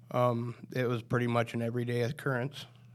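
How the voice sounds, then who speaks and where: Monotone, flat delivery from a man with a Midwestern American accent, medium pitch and moderate pace, on a very clean recording with a silent background. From Nebraska, Polk County. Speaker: recovering addict, court program graduate. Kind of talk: testimony. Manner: halting.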